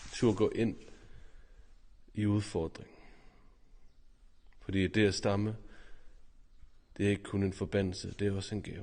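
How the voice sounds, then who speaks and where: In a dark, mellow tone, the speaker moves at a moderate pace with fairly even intonation and long, frequent pauses. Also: man, fairly low pitch for a man. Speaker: priest. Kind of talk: personal testimony to camera.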